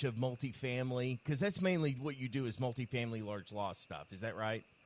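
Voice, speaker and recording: At a fairly quick pace, a man with an ordinary speaking voice and a medium pitch talks with lively intonation. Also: hardly any pauses. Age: 50s. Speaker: podcast host. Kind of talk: casual chat.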